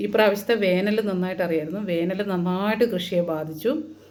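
Audible room echo hangs around this voice. A woman is the one talking. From Kerala, Idukki. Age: 40s. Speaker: farmer and video blogger. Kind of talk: casual talk to camera. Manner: unscripted, rambling.

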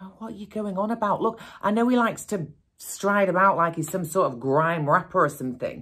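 Pitch swings very widely at a fairly quick pace against a quiet background. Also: woman. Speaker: actor playing a mother on the phone. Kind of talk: acted one-sided phone call monologue. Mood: annoyed, defensive, sarcastic. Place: studio.

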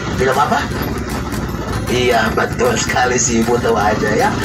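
Loud background noise surrounds the recording. A man talks at a moderate pace. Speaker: tour bus guide. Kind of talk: tour guide commentary. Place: bus.

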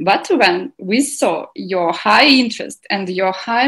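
The pace is fairly slow and the voice somewhat breathy. The background is quiet. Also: woman. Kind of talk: welcome speech. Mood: cheerful, enthusiastic. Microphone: video call.

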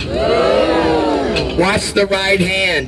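Over loud background noise, a man uses a raised, projected voice at a high pitch with an animated tone. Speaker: street performer. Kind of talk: street performer crowd-work pitch, coaxing cheers and tips. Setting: outdoors at a festival with live audience. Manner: cheeky, joking and animated. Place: street. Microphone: camera far.

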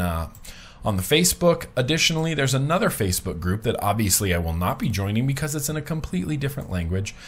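A man at medium pitch speaks with very wide pitch swings. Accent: American. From US. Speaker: vlogger. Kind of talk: casual vlog monologue. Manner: casual, chatty. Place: home room. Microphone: webcam.

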